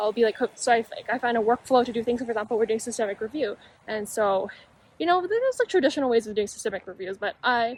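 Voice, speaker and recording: A woman mumbles quietly at a very fast pace. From Canada. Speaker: medical student and YouTuber. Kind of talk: casual vlog talk. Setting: outdoors on campus. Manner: mumbling, quiet.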